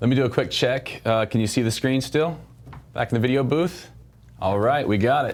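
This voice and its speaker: A man speaks at a medium pitch with ordinary pitch variation. His pace is fairly quick and his loudness very even. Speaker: software product specialist. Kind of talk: product demo livestream. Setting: video livestream. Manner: fast; animated.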